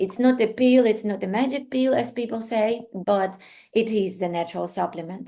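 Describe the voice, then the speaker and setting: A woman with a non-native accent, fairly high in pitch, with a dark, mellow tone, ordinary pitch variation and a moderate pace against a quiet background. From Ukraine. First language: Ukrainian or Russian. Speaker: art therapy instructor and coach. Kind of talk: online class introduction. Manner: hesitant, many fillers.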